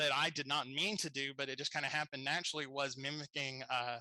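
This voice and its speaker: This man talks at a fairly quick pace with a Southern accent. His tone is bright and sharp, and his intonation is fairly even. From US South, Tennessee. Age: 30s. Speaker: podcast host. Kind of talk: casual interview chat.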